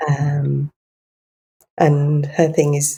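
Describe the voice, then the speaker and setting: A woman speaks in a very deep, low pitch with a dark, mellow tone and a somewhat breathy quality. The sound is dry and close, without echo. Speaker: herbalist, naturopath and acupuncturist. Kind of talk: interview answer. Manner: gentle.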